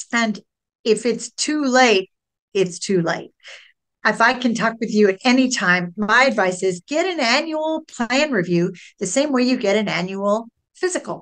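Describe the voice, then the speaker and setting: A woman speaks in a plain, everyday voice. Her pitch is fairly high, her pace fairly slow, and her intonation lively. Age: 60s. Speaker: Medicare insurance broker. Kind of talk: podcast interview.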